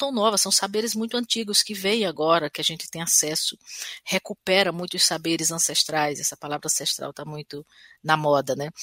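A woman at a moderate pace, her tone bright and sharp, with very wide pitch swings, big swings in loudness, and a dry, close sound with no echo. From Brazil, Sertão of Paraíba. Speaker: singer-songwriter. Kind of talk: interview. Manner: hesitant, with frequent repetitions.

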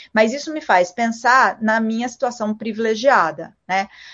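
A woman speaks with lively intonation. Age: 40s. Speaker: journalist and media executive. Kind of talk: interview. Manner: halting.

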